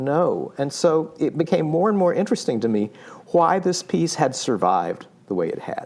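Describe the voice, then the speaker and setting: Swinging very widely in pitch, a man with an American accent talks in a fairly high voice. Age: 70s. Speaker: composer and music writer. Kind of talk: interview conversation. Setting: podcast interview. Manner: halting, many fillers.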